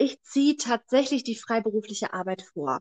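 A woman with a normal speaking voice, fairly high in pitch, at a moderate pace, with ordinary pitch variation and a dry, close sound with no echo. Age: 20s. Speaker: midwife. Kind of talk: interview.

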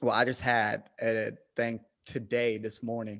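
A man with a Southern US accent speaks at a medium pitch. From US South. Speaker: podcast host guest.

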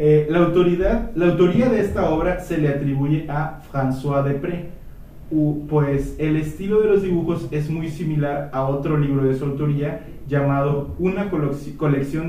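With a Mexican accent, the speaker talks fairly slowly with ordinary pitch variation, amid audible room echo and noticeable background noise. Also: man. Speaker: history podcast host. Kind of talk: casual chat.

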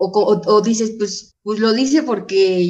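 Her pace is moderate. This woman's voice sits fairly high. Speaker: AA member. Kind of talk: testimony.

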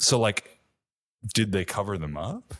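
Fairly low male pitch, very clean recording, silent background. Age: 20s. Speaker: podcast co-host. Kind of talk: casual chat.

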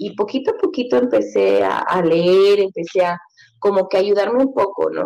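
A woman with an unremarkable speaking voice talks at a fairly slow pace and medium pitch. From Mexico City. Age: 30s. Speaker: mother, podcast guest. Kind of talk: casual chat.

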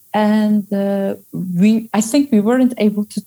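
A woman's dark, mellow voice with a Turkish accent, dry and close with no echo. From Turkey. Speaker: social scientist and burnout coach. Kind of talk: interview conversation. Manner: halting, many fillers.

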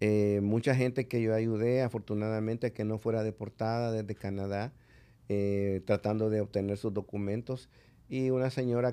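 A man speaks at a moderate pace in a fairly low pitch, his tone dark and mellow. His intonation stays flat and monotone against a quiet background. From El Salvador. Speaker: ambassador. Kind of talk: interview conversation. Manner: hesitant, many filler sounds.

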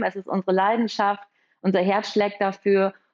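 The clip has a normal speaking voice delivered at a moderate pace. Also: woman. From Münster, Germany. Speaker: architect, firm co-owner. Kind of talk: podcast interview.

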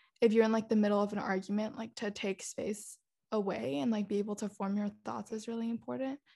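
Her voice sits at a medium pitch with a dark, mellow tone and a somewhat breathy quality. The woman talks at a very fast pace with ordinary pitch variation. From Netherlands and Singapore, international schools. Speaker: podcast co-host. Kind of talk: casual chat.

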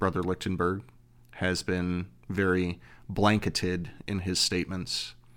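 A man with an American accent and a very deep, low voice, speaking at a fairly slow pace in a monotone, flat delivery, on a very clean recording with a silent background. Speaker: fraternity province governor. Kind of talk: casual interview.

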